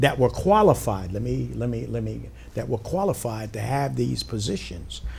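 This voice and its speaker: A man at a moderate pace, with audible room echo. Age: 70s. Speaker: bishop and community activist. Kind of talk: talk show interview.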